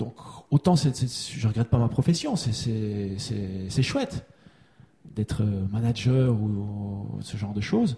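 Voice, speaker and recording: At a very slow pace, a man with a fairly low pitch speaks in a dark, mellow, somewhat breathy tone with ordinary pitch variation. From Switzerland. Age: 40s. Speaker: kinesiology practitioner. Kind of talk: testimony. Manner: halting.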